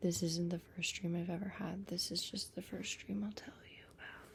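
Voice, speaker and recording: A woman speaks at medium pitch with vocal fry. Her tone is relaxed and her intonation fairly even. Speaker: ASMR creator. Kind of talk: ASMR whispered storytelling about dreams. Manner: whispered, relaxed, casual.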